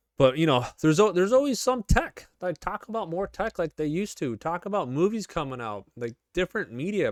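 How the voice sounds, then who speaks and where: An animated man with a Chicago accent speaks at a fairly quick pace, with a high pitch and very wide pitch swings. The sound is dry and close with no echo. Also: hardly any pauses. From US Midwest, Chicago suburbs. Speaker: gaming YouTuber. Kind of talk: casual commentary.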